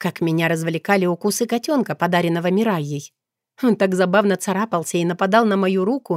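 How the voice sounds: Someone reads in a natural voice with ordinary pitch variation. Nothing disturbs the quiet background.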